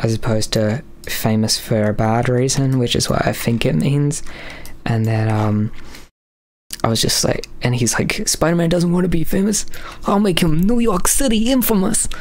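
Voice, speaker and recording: There is audible room echo as a man speaks at a moderate pace with a fairly high pitch. His pitch swings very widely while his loudness stays very even. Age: 20s. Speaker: streamer and artist. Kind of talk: live stream chat. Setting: live stream. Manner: halting.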